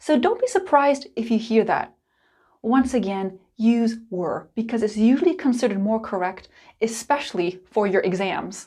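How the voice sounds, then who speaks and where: In an American accent, a woman speaks at a fairly high pitch with lively intonation and a dark, mellow, somewhat breathy tone on a very clean recording with a silent background. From United States. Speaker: English teacher. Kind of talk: tutorial. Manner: clear and deliberate.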